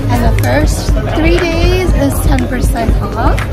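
Fairly slow speech with loud music in the background. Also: woman. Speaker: food vlogger. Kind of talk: casual vlog chat. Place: cafe. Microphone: phone near.

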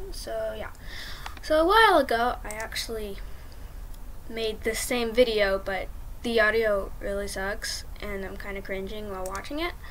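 The speech moves at a moderate pace with long, frequent pauses and big swings in loudness. Noticeable background noise sits behind it. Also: woman. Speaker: video game tutorial maker. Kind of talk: casual screen-recorded tutorial.

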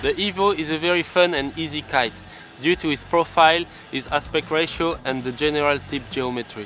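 Against faint background music, a man talks at a fairly quick pace with ordinary pitch variation in a dry sound with no echo. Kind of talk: product presentation. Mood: confident, upbeat. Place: beach.

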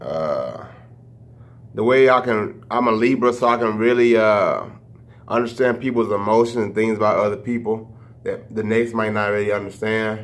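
A man with an American accent talks at a moderate pace. His intonation is monotone and flat. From Louisiana and Texas (Shreveport, Dallas); Louisiana. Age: 20s. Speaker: YouTuber. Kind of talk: casual vlog Q&A. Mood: relaxed, reflective. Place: kitchen. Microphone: phone near.

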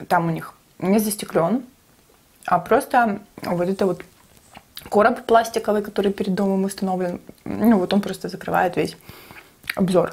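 A woman talks at a moderate pace with ordinary pitch variation and a somewhat breathy sound. Her speech has long, frequent pauses. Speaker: mukbang vlogger. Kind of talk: casual storytelling vlog chat. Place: kitchen.

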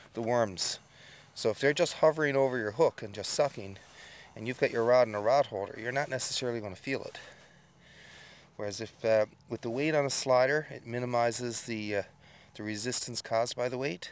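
This dry recording has no echo. A man talks at a fairly quick pace with ordinary pitch variation and big swings in loudness. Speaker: local fishing guide. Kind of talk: tutorial explanation. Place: boat.

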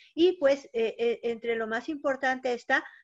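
A woman speaks very slowly in a high pitch with lively intonation. The background is quiet. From Mexico. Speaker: historian, moderator. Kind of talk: academic panel discussion. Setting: video call. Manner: halting, many fillers. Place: home room. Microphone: video call.

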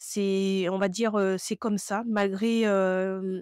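A woman at a very slow pace with fairly even intonation, dry sound with no echo, quiet background. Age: 30s. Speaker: knitting youtuber and yarn dyer; knitting youtuber. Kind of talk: tutorial. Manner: hesitant, many filler sounds. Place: home room. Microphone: lapel.

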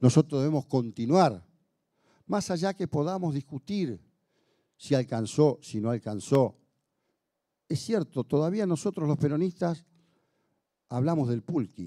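A man's fairly high pitch with a dark, mellow tone and lively intonation, at a fairly slow pace with long, frequent pauses, over a quiet background. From Argentina. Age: 60s. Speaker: union leader and legislator; speaker. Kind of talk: speech to an audience. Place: hall. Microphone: handheld.

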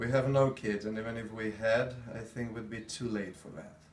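His intonation monotone and flat, a man speaks with big swings in loudness. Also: medium pitch for a man, moderate pace. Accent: slight continental European. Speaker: actor. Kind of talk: acted dramatic scene dialogue.

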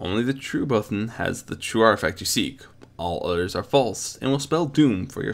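Intonation here is lively. Someone is reading aloud in a natural voice.

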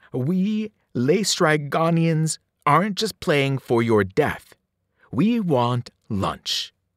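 A man puts on a growling character voice, fairly high-pitched, speaking very slowly with big pitch swings, in a very clean recording with a silent background. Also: dry, close sound with no echo.

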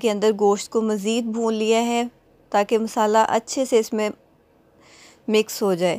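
Very slow, monotone, flat delivery on a very clean recording with a silent background. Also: woman. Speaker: cooking vlogger. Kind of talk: cooking tutorial. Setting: home kitchen. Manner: casual, with filler pauses.

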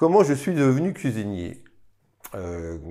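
A man speaks at a very slow pace in a dark, mellow tone. The background is quiet. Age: 40s. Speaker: restaurant owner and cook. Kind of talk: interview testimony. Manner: hesitant, many fillers. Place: cafe.

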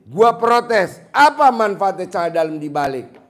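The speaker is a man talking at a very slow pace. His pitch swings very widely. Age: 50s. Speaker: spiritual motivator; presenter. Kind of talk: live Q&A with audience. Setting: hall with live audience. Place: hall. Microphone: handheld.

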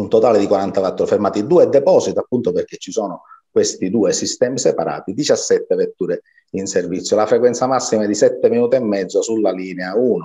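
The man's delivery is fairly quick. Behind him, the background stays quiet. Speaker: guest. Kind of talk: interview answer explaining slides. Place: home room. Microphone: webcam.

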